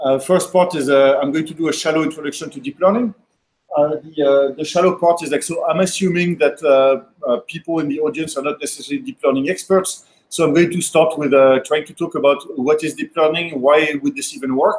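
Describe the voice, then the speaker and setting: A French accent with ordinary pitch variation. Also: man. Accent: French accent (joking he sounds Californian). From France. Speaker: software developer and machine learning speaker. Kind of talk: technical talk at a meetup. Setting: meetup with live audience. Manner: fast; hesitant, many fillers.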